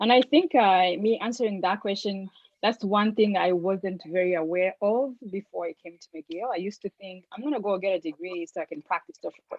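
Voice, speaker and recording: A woman with a non-native accent, medium pitch and ordinary pitch variation, at a moderate pace with big swings in loudness. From Africa. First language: not English. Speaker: social work student. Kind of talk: casual chat.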